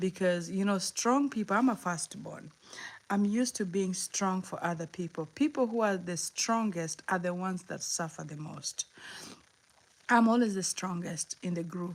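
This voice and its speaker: A woman with a Kenyan accent, medium pitch, ordinary pitch variation and a moderate pace. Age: 50s. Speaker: motivational livestreamer. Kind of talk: livestream chat. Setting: live stream. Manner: halting, repeats words.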